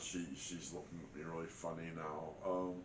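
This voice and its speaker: With audible room echo, a man talks at a moderate pace in a very deep, low voice. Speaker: hunting and outdoors vlogger. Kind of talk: casual vlog talk to camera. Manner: halting, many fillers and repeats.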